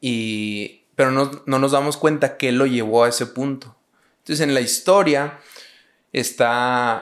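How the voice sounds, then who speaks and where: A man at medium pitch with fairly even intonation and a very slow pace, on a very clean recording with a silent background. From Mexico, Parral, Chihuahua. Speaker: youth pastor. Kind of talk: casual chat.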